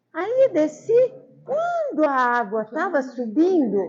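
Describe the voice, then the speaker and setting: Over music in the background, a woman speaks at a very slow pace in a high pitch with very wide pitch swings. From Brazil, São Paulo state interior. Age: 80s+. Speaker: local elder sharing memories. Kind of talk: personal storytelling.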